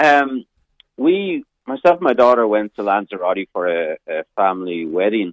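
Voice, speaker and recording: With an Irish accent, a man talks in very wide pitch swings. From Ireland. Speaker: caller. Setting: phone call.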